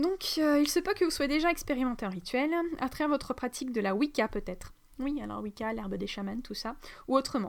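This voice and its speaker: A woman talks at a fairly quick pace in a high voice with lively intonation. The recording is very clean, with a silent background. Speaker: spiritual teacher, energy healer. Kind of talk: spiritual teaching monologue. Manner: halting, many fillers; fast.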